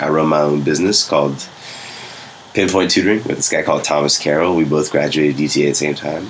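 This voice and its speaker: A man's pitch varies in an ordinary way while noticeable noise runs in the background. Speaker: former teacher. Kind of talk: casual banter chat. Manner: soft-spoken.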